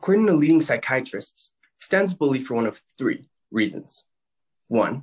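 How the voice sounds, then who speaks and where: A man talks at a moderate pace. Behind him, the background is quiet. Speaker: actor doing a self-tape audition. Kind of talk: audition slate and performed monologues. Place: home room. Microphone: phone near.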